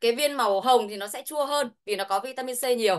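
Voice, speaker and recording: A woman speaks at a fairly quick pace with a fairly high pitch. Her pitch varies in an ordinary way over a quiet background. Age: 40s. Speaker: product expert; presenter. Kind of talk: sales pitch. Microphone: video call.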